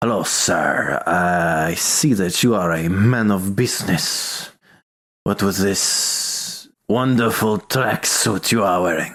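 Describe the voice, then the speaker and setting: Putting on a character voice, a man speaks very slowly at a fairly low pitch. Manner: hushed.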